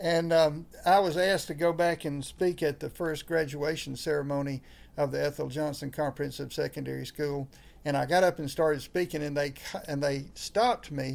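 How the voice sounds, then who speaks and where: Fairly even intonation marks this voice. It comes in a Southern US accent. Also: man, fairly high pitch for a man, moderate pace. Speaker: pastor. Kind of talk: interview conversation. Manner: halting, many fillers.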